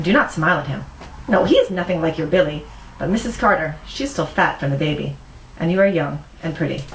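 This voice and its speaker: Noticeable background noise runs under speech delivered at a very fast pace. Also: woman, fairly low pitch for a woman. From Philippines. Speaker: novelist. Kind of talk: reading from her own novel.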